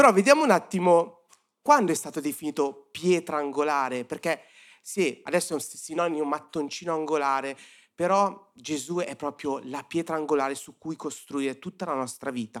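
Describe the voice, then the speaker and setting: Over a very clean recording with a silent background, a man uses a plain, everyday voice, fairly high in pitch with ordinary pitch variation, at a moderate pace. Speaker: youth-group preacher. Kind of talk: sermon. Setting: church service with audience.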